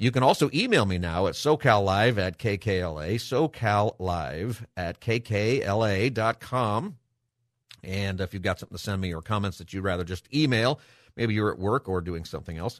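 With an unremarkable speaking voice, a man talks at a moderate pace and fairly low pitch, his pitch varying in an ordinary way. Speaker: radio talk show host and pastor. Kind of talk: call-in talk radio. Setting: studio.

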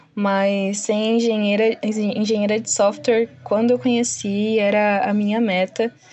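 A woman in a plain, everyday voice talks at a fairly slow pace and a fairly high pitch. Her intonation is fairly even, her loudness very even, with hardly any pauses. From São Paulo, Brazil. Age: 20s. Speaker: junior web developer. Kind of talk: interview.

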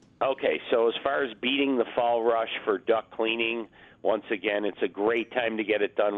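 With a plain, everyday voice, a man speaks at a moderate pace with a fairly low pitch and fairly even intonation. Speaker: duct cleaning business owner. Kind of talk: promotional radio segment.

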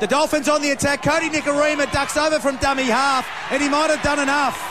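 With an Australian accent, a man with an extremely high voice talks at a fairly quick pace over noticeable background noise. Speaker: radio rugby league commentator. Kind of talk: live radio play-by-play commentary of a rugby league match, calling tries as they happen. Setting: commentary box at a stadium. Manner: excitable, rising to exclamations at each try; rapid-fire staccato calls, repeating names as play unfolds.

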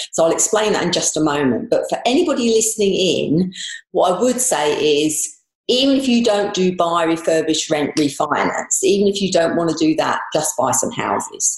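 A woman speaks with a London accent at a moderate pace. Her loudness stays very even. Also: medium pitch for a woman, lively intonation. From southeast London, England. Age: 60s. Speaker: dentist turned property investor. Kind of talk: interview.

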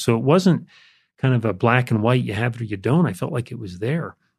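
A man's somewhat breathy, medium-pitched voice with an American accent, lively intonation, and a fairly quick pace against a quiet background. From US Northeast (Jersey Shore, Connecticut). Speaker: author and business executive. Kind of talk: testimony.

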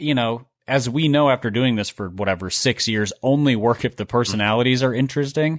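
Against a quiet background with a dry, close sound and no echo, a man in an ordinary speaking voice talks at a fairly quick pace with a medium pitch and ordinary pitch variation. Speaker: podcast host. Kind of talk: casual sports chat.

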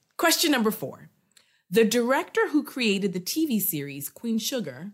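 This woman's voice rises and falls in very wide pitch swings. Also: very clean recording, silent background. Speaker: quiz show host and politics professor. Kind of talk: casual trivia game show interview.

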